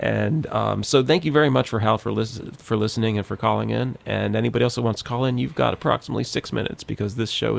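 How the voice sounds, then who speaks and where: Amid noticeable background noise, a man rattles on at a very fast pace with hardly any pauses. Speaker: radio host. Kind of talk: casual political discussion.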